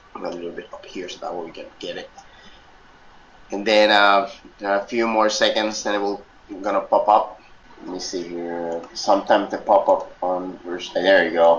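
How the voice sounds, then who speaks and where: A man speaks at a moderate pace, leaving long, frequent pauses, while noticeable background noise runs underneath. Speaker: software instructor. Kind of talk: tutorial. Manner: loud; halting, many fillers.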